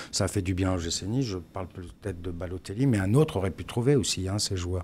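This man has a very deep, low voice that is somewhat breathy and dark, mellow in tone. He speaks at a moderate pace with ordinary pitch variation. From France, Strasbourg; France. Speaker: former footballer. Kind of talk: casual chat. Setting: studio. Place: studio. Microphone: studio mic.

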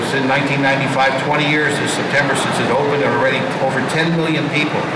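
Loud background noise surrounds a man speaking at a fairly quick pace. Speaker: radio guest. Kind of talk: interview answer. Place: hall.

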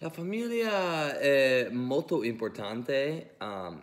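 With an English accent, a man at a medium pitch speaks at a very slow pace. His pitch swings very widely against a quiet background. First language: English (speaking Italian). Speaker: language student. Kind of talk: prepared class presentation. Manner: halting, many fillers. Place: home room. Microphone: phone near.

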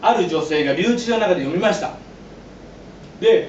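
A man speaks at a high pitch. Light background noise and audible room echo are present. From Japan. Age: 40s. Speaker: pastor and former yakuza; pastor. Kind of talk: sermon. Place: church. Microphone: camera far.

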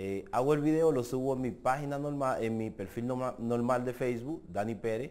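Ordinary pitch variation in the speech of a man. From Dominican Republic. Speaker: social media personality; social media creator. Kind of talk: interview. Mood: relaxed, amused storytelling. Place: studio. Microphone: lapel.

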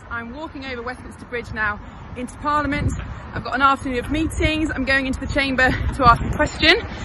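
A woman's high-pitched voice at a very fast pace, fairly even in intonation, dry with no echo, over noticeable background noise. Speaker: politician. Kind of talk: casual vlog chat. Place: street. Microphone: phone near.

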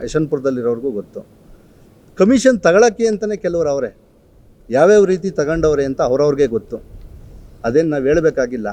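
A man's dark, mellow tone sits at a fairly high pitch and moves in very wide pitch swings. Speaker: village council member and contractor. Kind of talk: press statement rebuttal.

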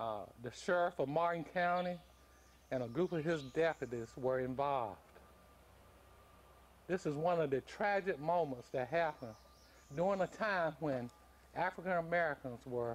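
A man talks at a fairly slow pace with ordinary pitch variation and long, frequent pauses. Light background noise can be heard. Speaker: local historian narrator. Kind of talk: documentary narration. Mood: solemn, grave. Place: open country.

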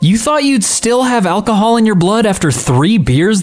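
Noticeable background noise fills the clip. Through it comes a woman's voice. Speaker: narrator reading online posts. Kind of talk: reading aloud.

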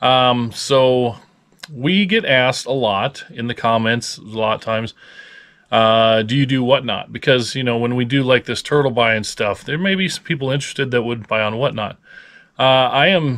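Over a quiet background, a man speaks with a Midwestern accent. His pitch is medium, his pace moderate, and his pitch variation ordinary. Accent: general American (Midwest). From US Midwest (Lincoln, Nebraska); Nebraska. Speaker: reseller, video channel host. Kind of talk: casual chat. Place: home room. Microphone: phone near.

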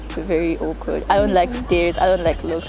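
Over clear background music, a woman speaks in a dry recording with no echo. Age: young. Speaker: university student. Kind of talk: documentary interview answer. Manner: stuttering. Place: street.

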